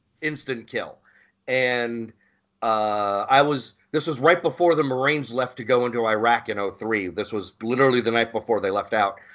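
At a moderate pace and medium pitch, a man speaks in an ordinary speaking voice against a quiet background. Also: ordinary pitch variation. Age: 40s. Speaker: podcast host, Marine veteran. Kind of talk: casual chat.

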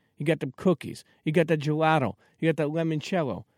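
A man talks at a fairly quick pace in a New York accent. The recording is very clean with a silent background and a dry, close sound with no echo. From Brooklyn, New York (Coney Island). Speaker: podcast host. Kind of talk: casual interview chat. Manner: repetitive, stammering starts.

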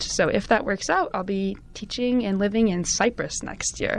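A woman speaks with a Californian accent. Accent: Californian American English. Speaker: university student. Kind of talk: casual interview. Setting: studio.

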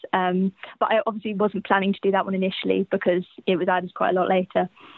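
A woman with a southern English accent speaks in a monotone, flat intonation. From England, Cambridge. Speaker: university student and fan. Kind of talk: casual chat. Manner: halting.

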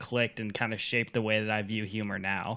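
The pace is fairly quick. The tone comes across bright and sharp. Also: man. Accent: American. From Florida. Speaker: podcast co-host. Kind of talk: casual chat.

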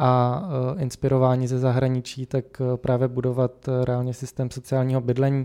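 Recorded very cleanly over a silent background, a man speaks at medium pitch in a dark, mellow tone with monotone, flat intonation. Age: 20s. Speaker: city councillor. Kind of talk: interview. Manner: hesitant with fillers.

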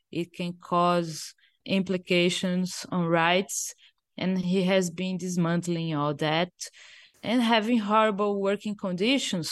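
A woman with a Portuguese accent at a medium pitch, speaking at a fairly slow pace against a quiet background. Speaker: digital rights activist. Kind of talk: interview.

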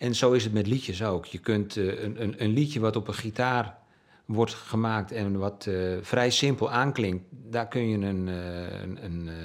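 A man with an ordinary speaking voice talks at a fairly low pitch. His pace is fairly slow, and his pitch varies in an ordinary way. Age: 60s. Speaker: musician and journalist. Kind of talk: interview. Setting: at home.

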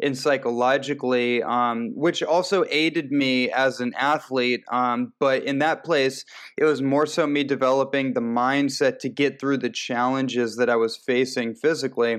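A man with a normal speaking voice talks at a medium pitch and moderate pace. His intonation is fairly even, with hardly any pauses and a quiet background. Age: 30s. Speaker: nutritionist and transformation coach. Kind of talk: interview.

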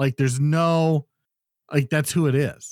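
A man with an unremarkable speaking voice, a fairly high pitch and a moderate pace. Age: 40s. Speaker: podcast co-host. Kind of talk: casual chat.

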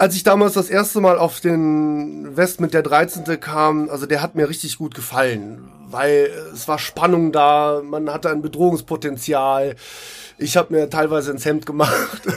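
Fairly slow speech from a man, fairly high-pitched, with ordinary pitch variation. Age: 40s. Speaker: live role-play player. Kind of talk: casual interview. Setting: recorded on site at a live role-play event. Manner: hesitant, many fillers.

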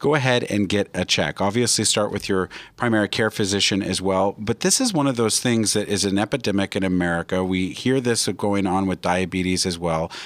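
In a very clean recording with a silent background, a man with a fairly low pitch and ordinary pitch variation speaks at a fairly quick pace with hardly any pauses, in an unremarkable speaking voice. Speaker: radio host, real estate agent. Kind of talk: radio dj patter. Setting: studio. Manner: upbeat, salesy, fast-talking.

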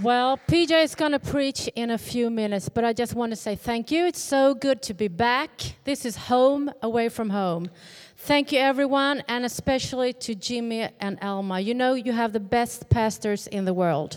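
A woman with a Swedish accent, fairly high pitch, ordinary pitch variation and a moderate pace. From Sweden. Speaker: pastor's wife and journalist. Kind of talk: church greeting. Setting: church.

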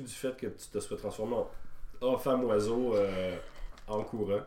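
A man speaks at a medium pitch and a fairly slow pace, with ordinary pitch variation and audible echo in the room. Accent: Quebec. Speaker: podcast host and game master. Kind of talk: tabletop role-play narration.

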